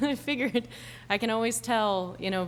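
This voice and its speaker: A woman at a fairly quick pace with ordinary pitch variation, in a very clean recording with a silent background. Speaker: whistleblower and nonprofit founder. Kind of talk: opening remarks. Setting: live event with audience. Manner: quiet.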